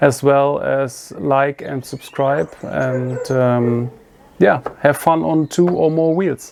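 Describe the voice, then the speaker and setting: The speech comes in a German accent at a very slow pace. Noticeable background noise runs underneath. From Germany. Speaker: motorcycle video creator. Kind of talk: product review. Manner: halting.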